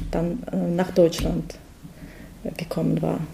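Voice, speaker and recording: A woman speaks with a Russian accent at a fairly low pitch. Noticeable background noise is present. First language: Russian (speaking German). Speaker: project participant, mother. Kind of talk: interview. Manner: halting.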